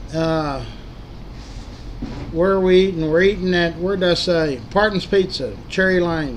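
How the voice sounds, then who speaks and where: A man with a Texas accent talks at a moderate pace in a high voice with fairly even intonation, over light background noise. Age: 70s. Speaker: local history group admin and livestreamer; livestreamer. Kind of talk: casual livestream monologue. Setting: livestream. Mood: earnest, caring. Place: home room. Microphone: webcam.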